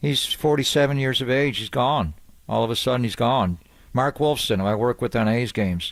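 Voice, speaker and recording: Here a man speaks with a plain, everyday voice at a medium pitch and a fairly quick pace. His pitch varies in an ordinary way, and his loudness stays very even. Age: 60s. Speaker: sports radio host. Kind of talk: casual chat.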